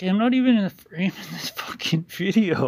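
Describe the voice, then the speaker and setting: This man has a high voice and lively intonation, speaking at a moderate pace. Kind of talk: casual commentary reacting to comments. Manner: profane, irritated ranting; slightly shaky.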